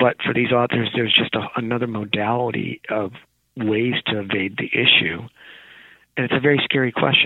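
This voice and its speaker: A man with an American accent and a normal speaking voice, medium in pitch, fairly quick in pace and fairly even in intonation. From rural California. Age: 40s. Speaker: professor. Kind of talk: interview.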